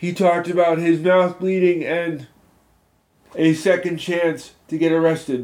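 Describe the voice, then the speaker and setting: A man speaks at a fairly slow pace with a high pitch. His intonation is monotone and flat. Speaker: podcast host. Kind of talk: solo monologue podcast.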